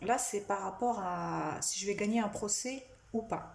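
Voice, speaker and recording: A somewhat breathy woman at a very slow pace with ordinary pitch variation and audible room echo. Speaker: psychic medium. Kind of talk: tutorial. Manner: halting.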